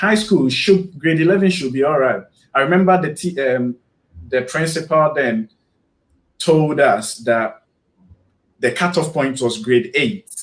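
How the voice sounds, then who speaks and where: With a Ghanaian accent, a man talks at a fairly slow pace, pausing long and often. His pitch is fairly high and his intonation lively. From Ghana, Kumasi area. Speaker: guest on a live stream, YouTuber. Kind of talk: casual interview chat. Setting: live stream video call. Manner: halting, repeats words.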